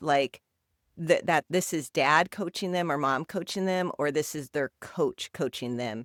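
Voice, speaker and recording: A woman with an unremarkable speaking voice talks at a fairly slow pace, her pitch fairly low with ordinary variation. The recording is very clean with a silent background, and the sound is dry and close with no echo. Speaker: youth soccer coach and podcast co-host. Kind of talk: casual podcast discussion. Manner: conversational with many fillers.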